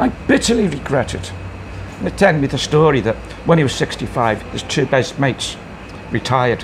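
Over noticeable background noise, a man with fairly high pitch speaks at a moderate pace with very wide pitch swings and long, frequent pauses. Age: 60s. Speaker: bar owner. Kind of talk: casual interview chat.

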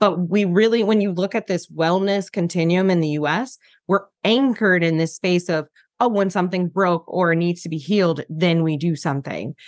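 A woman with a fairly low pitch and ordinary pitch variation speaks at a moderate pace in an unremarkable speaking voice, with a quiet background. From US Midwest, Detroit. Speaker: burnout and wellness coach. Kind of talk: interview.

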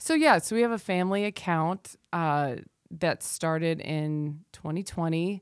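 An unremarkable speaking voice: a woman with an American accent, fairly low pitch, ordinary pitch variation and a fairly slow pace, in a very clean recording with a silent background. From US South. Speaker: dance teacher and wellness instructor. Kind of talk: casual chat.

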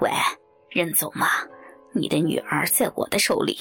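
The speaker puts on a character voice at a middle pitch and a moderate pace. Faint music plays in the background.

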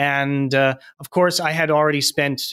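With a Canadian accent, a man with a fairly high pitch talks at a fairly quick pace on a very clean recording with a silent background. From Manitoba, Canada. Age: 40s. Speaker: real estate investor. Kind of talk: interview. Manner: halting, many fillers and repeats.

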